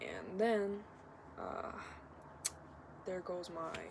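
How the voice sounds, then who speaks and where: A medium-pitched woman's voice amid noticeable background noise. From Kazakhstan. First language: not English (English is third language). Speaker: vlogger. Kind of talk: casual vlog monologue. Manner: halting, many filler words.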